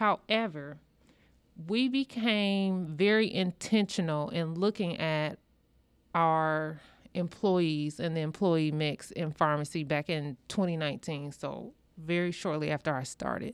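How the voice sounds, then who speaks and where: A woman with an American accent and an ordinary speaking voice, fairly low in pitch with ordinary pitch variation, at a fairly slow pace, in a very clean recording over a silent background. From US Midwest, rural Illinois. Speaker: hospital pharmacist. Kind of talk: interview.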